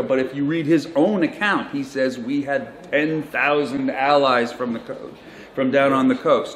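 Light background noise and audible room echo surround a man with an American accent, who talks at a moderate pace with ordinary pitch variation. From United States. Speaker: journalist and author; journalist. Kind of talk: conference talk. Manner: halting. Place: hall. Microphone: handheld.

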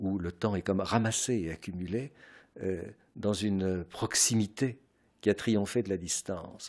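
Against a quiet background, a man speaks at a fairly low pitch and a fairly slow pace, with fairly even intonation and long, frequent pauses. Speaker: philosopher. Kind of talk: radio interview answer. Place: home room. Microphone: studio mic.

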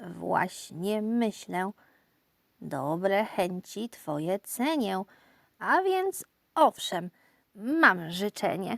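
A put-on character voice at a very slow pace, broken by long, frequent pauses. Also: female-sounding voice, medium pitch for a woman. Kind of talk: children's poem reading. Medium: read story. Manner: calm, matter-of-fact.

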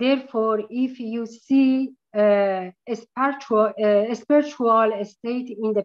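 A woman's very slow, fairly high-pitched speech with a Persian accent and fairly even intonation, over a quiet background. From Iran. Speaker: painter. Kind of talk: online artist talk. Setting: video call. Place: home room. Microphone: video call.

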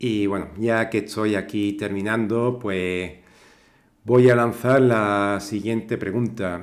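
A man's fairly low, monotone voice with flat intonation at a very slow pace. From southern Spain, Cádiz. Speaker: tech YouTuber. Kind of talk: tutorial. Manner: hesitant, many fillers.

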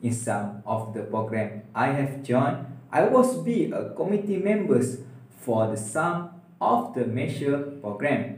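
A man with a Malaysian accent speaks at a fairly slow pace and a fairly high pitch, his voice making very wide pitch swings amid audible room echo. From Malaysia, Perak. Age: 20s. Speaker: university student. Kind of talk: video resume. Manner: formal. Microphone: phone near.

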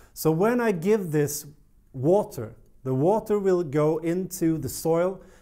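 With a Swedish accent, a man talks in a dark, mellow tone. His intonation is lively, and the background is quiet. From Sweden. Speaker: plant care youtuber. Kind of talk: tutorial. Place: studio. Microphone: lapel.

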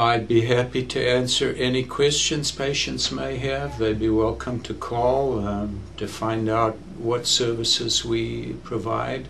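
Over music in the background, a man talks at a very slow pace with ordinary pitch variation. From South Africa. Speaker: physician, general internist. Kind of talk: interview answer. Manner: hesitant, many filler words. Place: studio.

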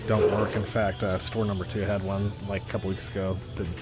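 Against loud background music, a man talks at a fairly quick pace, the sound dry with no echo. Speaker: eBay reseller thrifting. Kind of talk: casual vlog chat. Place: shop. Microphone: phone near.

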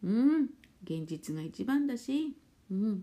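A woman talks at a very slow pace in a relaxed, dark, mellow tone. Her pitch makes very wide swings. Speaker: spiritual therapist and fortune teller; live streamer. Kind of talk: casual chat. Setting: live stream. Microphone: phone near.

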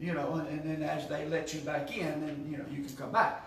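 A man at a fairly quick pace, with light background noise and audible room echo. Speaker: Sunday school teacher. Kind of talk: lecture. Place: classroom. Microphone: camera far.

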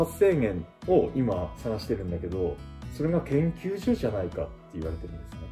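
A man talks at a fairly quick pace with clear music playing in the background. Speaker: YouTuber interviewer. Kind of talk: casual interview questions. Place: home room. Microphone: camera far.

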